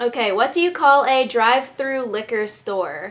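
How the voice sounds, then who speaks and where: In an American accent, this is a normal speaking voice with ordinary pitch variation, delivered at a fairly slow pace. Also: woman. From Maryland, United States. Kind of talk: casual talk to camera. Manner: upbeat, chatty.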